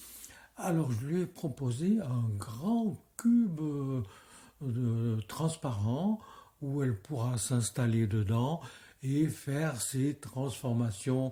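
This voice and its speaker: At a very slow pace, a somewhat breathy voice with a dark, mellow tone comes through on a very clean recording with a silent background. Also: man, medium pitch for a man. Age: 80s+. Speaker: street theatre director. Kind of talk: interview. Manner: halting.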